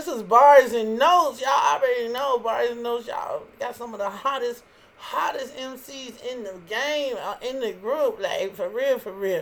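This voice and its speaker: A high-pitched woman with big swings in loudness over noticeable background noise. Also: ordinary pitch variation, moderate pace. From Chicago. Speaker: internet radio host. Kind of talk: casual live-stream radio chat. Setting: DJ booth live stream.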